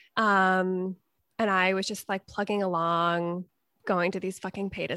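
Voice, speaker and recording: A woman with an American accent speaks in an ordinary speaking voice at medium pitch and a moderate pace. The recording is very clean, dry and close, with a silent background and no echo. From Connecticut. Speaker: podcast co-host, opera singer. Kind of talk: casual conversation interview.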